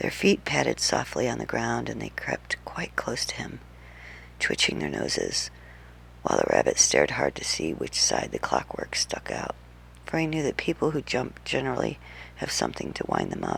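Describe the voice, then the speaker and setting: Whispering at a moderate pace, a woman speaks. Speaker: ASMR creator. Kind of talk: bedtime story reading. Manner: soft-spoken.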